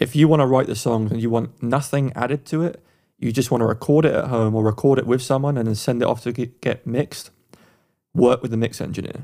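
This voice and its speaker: A man with an English accent, medium pitch, a dark, mellow tone, fairly even intonation and a very fast pace, on a very clean recording with a silent background. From England. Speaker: podcast co-host, music producer. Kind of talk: advice; music review.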